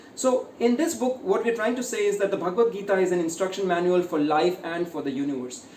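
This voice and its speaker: Speaking very fast with hardly any pauses, a man with an Indian accent has a high pitch. Noticeable background noise runs underneath. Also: lively intonation. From India, Uttar Pradesh (Ayodhya). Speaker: author and corporate speaker. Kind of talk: interview.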